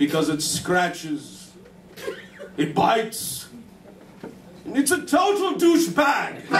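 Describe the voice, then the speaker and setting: With light background noise and audible room echo, a man speaks at a very slow pace. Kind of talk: comic song and stage banter. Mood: comic, mock-epic. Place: stage. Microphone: camera far.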